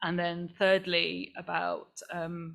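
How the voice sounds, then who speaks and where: This is a woman's voice. She speaks with an East Anglian accent. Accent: non-Mancunian accent, from the Fens. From England, the Fens (East Anglia). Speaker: climate activist. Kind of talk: panel talk. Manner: halting, many fillers and restarts.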